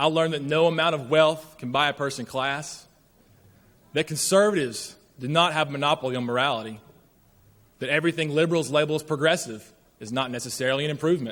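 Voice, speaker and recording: The speaker has a strong Southern US accent. Pitch varies in an ordinary way. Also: man. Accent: deep Southern drawl. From rural northern Alabama. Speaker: graduating student speaker. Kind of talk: commencement speech. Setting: stage with large audience. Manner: formal.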